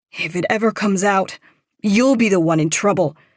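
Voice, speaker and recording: In a put-on character voice, someone growls at a middle pitch and a moderate pace on a very clean recording with a silent background. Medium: read story. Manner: sharp, combative.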